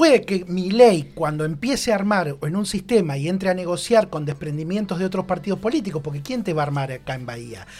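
Over a silent background in a very clean recording, a man with a high pitch speaks at a fairly quick pace, his intonation lively and hardly any pauses. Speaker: radio columnist. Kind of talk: radio column discussion.

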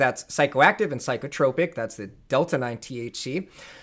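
A man with a normal speaking voice and a fairly high pitch uses lively intonation. The recording is very clean, with a silent background. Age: 30s. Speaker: CEO of a cannabinoid isolate company. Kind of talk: casual interview.

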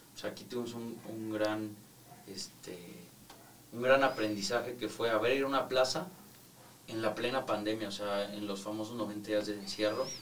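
A fairly low-pitched man at a moderate pace, fairly even in intonation, with long, frequent pauses, big swings in loudness, audible room echo and noticeable background noise. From Mexico. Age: 20s. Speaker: architect and real estate developer. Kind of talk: casual interview.

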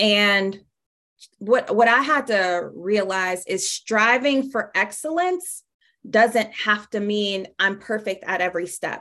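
With an American accent, a woman speaks at a very slow pace in a bright, sharp tone. Her medium pitch shows ordinary variation against a quiet background. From Pittsburgh, Pennsylvania. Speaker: leadership facilitator. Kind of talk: interview conversation. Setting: remote call.

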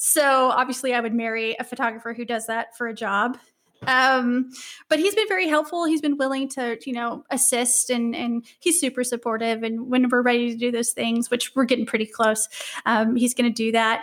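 At a moderate pace and with fairly even intonation, a woman with a high pitch speaks in an American accent in a very clean recording with a silent background. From US Midwest, southwest Missouri. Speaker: university student affairs professional. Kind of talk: casual interview.

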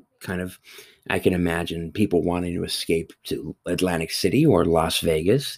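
The recording here is very clean, with a silent background. In it, a man speaks at a moderate pace. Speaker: movie reviewer. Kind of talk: solo review monologue. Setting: home recording near a parkway. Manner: halting, many fillers and repetitions.

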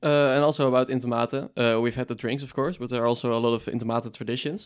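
A man speaks very fast in a Dutch accent. His medium pitch holds fairly even intonation. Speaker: student podcast co-host. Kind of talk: casual interview.

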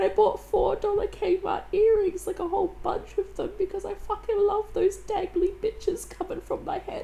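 Against noticeable background noise, a woman with an extremely high voice talks at a moderate pace with hardly any pauses and a monotone, flat intonation. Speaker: podcast host. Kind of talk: personal monologue. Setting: at home on couch.

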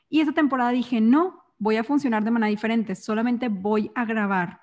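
Against a quiet background, a woman with a fairly high, somewhat breathy voice talks at a moderate pace with ordinary pitch variation. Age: 20s. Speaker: entrepreneur and speaker. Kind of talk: casual interview chat.

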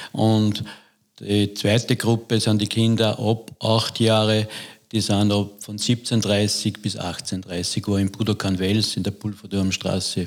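Monotone, flat delivery at a very slow pace, on a very clean recording with a silent background. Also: man, fairly low pitch for a man. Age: 60s. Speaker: judo coach. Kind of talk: interview.

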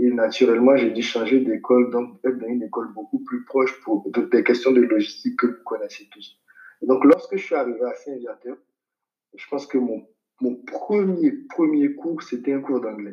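This man talks at a moderate pace and medium pitch with ordinary pitch variation, in a plain, everyday voice. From Ivory Coast, Abidjan. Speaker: investment professional. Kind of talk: interview.

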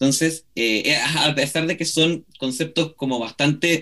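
Pitched fairly high, a man speaks at a fairly slow pace. His pitch varies in an ordinary way. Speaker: radio co-host, historian. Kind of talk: radio interview. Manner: halting.

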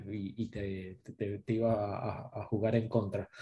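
A man's dark, mellow tone, somewhat breathy. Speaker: certified test automation engineer. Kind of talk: casual panel chat.

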